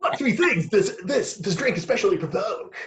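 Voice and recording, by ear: Put-on character voice from a man, moderate in pace and extremely high in pitch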